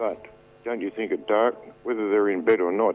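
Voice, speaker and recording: A man's fairly low-pitched voice in an Australian accent. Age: 60s. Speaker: caller. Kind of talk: radio call-in.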